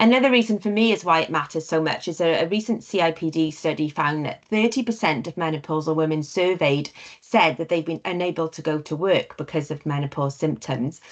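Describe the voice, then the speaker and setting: Against a quiet background, a woman with a British accent speaks fairly quickly at a very deep, low pitch and with ordinary pitch variation. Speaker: learning and development trainer. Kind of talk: webinar presentation. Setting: online webinar. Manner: occasional stammer on terms.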